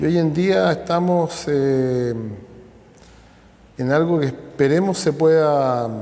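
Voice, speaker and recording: A man speaks very slowly with long, frequent pauses, at a fairly high pitch and very even loudness. The room echo is audible and background noise is noticeable. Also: ordinary pitch variation. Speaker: interviewee, descendant of immigrants. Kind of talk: interview testimony.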